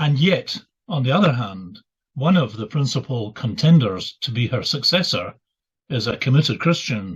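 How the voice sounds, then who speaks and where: With a Scottish accent, a somewhat breathy man of medium pitch talks at a moderate pace with lively intonation. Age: 70s. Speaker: retired minister and author. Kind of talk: interview. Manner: halting, many fillers.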